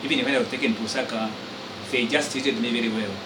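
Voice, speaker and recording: Noticeable background noise and audible room echo fill the recording. A man with a Zambian accent speaks with lively intonation. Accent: Zambian (Lozi) English. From Zambia, Western Province (Barotseland). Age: 60s. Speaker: retired teacher and college lecturer, independence activist. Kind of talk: interview testimony. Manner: formal.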